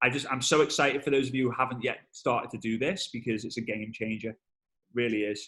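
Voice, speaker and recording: Animated in tone, a man with a Liverpool accent talks at a fairly quick pace. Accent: Liverpool (Scouse) English. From northern England, Liverpool. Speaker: network marketing trainer. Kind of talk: webinar interview. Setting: video call. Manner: fast.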